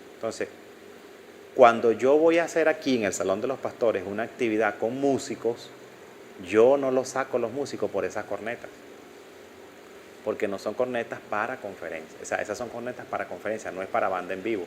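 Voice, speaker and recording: The man talks at a fairly quick pace and a medium pitch, with ordinary pitch variation. He leaves long, frequent pauses. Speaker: audio instructor. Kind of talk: lecture. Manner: halting.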